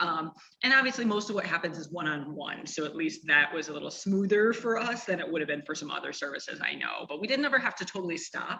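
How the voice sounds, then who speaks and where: A woman with a fairly low voice talks very fast, with hardly any pauses and very wide pitch swings. Noticeable background noise sits behind her. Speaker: nonprofit representative and university professor. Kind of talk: interview.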